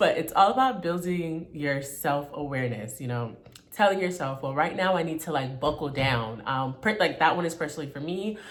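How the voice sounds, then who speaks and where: A woman with a very deep, low voice speaks at a fairly quick pace with lively intonation. Audible room echo surrounds her. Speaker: self-help vlogger. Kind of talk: casual motivational talk. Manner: stern in places.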